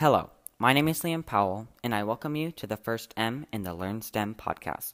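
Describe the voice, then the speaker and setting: The man's intonation is lively. Behind him the background stays quiet. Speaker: student podcast host. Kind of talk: podcast narration.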